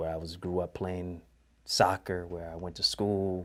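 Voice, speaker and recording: Very clean recording, silent background, with a man speaking in an American accent. His very deep, low pitch follows a fairly even intonation. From Detroit, with part of childhood in Jamaica. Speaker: preacher and author. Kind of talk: testimony.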